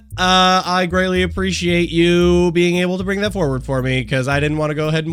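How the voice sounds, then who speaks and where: The speech moves at a fairly quick pace, with audible echo from the room. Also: man. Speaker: gaming YouTuber reacting to a video. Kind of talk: casual reaction commentary. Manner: animated; fast.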